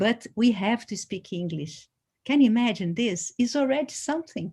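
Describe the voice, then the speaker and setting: A woman speaks with a dark, mellow tone that is somewhat breathy. Her pitch sits fairly high. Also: lively intonation, moderate pace. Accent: Brazilian Portuguese. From Brazil. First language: Portuguese. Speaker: dance artist. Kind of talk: panel conversation. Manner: halting, searching for words.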